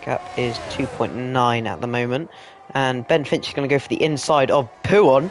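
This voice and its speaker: Noticeable background noise sits behind a man's medium-pitched voice. He keeps a moderate pace with ordinary pitch variation. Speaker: sim racing commentator. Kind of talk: live commentary.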